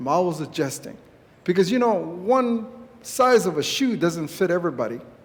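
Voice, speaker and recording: A man speaks at a moderate pace with a high pitch and lively intonation. There is audible room echo. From San Carlos Apache reservation, Arizona. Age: 60s. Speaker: Apache community leader and activist. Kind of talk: speech at a church gathering. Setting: church event with audience.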